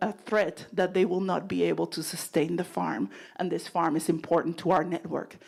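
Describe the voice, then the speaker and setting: This woman's voice carries vocal fry. She talks at a moderate pace. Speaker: nonprofit leader. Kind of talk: presentation.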